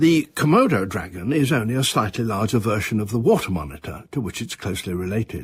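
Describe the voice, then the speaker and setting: A man speaks at a moderate pace with lively intonation, his voice somewhat breathy. The recording is very clean, with a silent background. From British. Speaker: broadcaster, natural history presenter. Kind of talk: natural history monologue.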